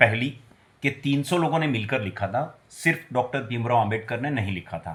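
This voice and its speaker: Speaking at a moderate pace with lively intonation, a man uses a medium pitch with vocal fry. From Gujarat, India. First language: Gujarati (speaking Hindi). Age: 40s. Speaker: vlogger. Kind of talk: personal video commentary. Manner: agitated, ranting.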